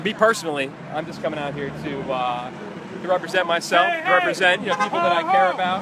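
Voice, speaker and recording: A man speaks very fast in a high voice with ordinary pitch variation. Noticeable background noise runs behind him. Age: 20s. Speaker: protester at political rally. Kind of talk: street interview. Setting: outdoors. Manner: halting.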